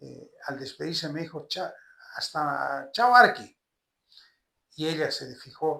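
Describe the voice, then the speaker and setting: A man with a fairly high pitch and vocal fry speaks fairly slowly in a bright, sharp tone. His loudness swings widely, and he pauses long and often. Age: 70s. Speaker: politician, senate candidate. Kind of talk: interview. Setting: at home.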